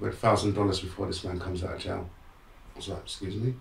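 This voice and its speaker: Audible room echo surrounds a man speaking at a fairly quick pace in a very deep, low pitch. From London, England. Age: 60s. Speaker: motivational speaker. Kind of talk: interview storytelling. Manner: animated.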